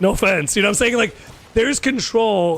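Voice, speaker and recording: Lively intonation and an animated tone mark this voice with a Chicago accent, heard in a very clean recording with a silent background. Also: man. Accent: sounds argumentative due to Chicago origin. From US Midwest, Chicago area. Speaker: gaming streamer. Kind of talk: casual chat. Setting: live stream.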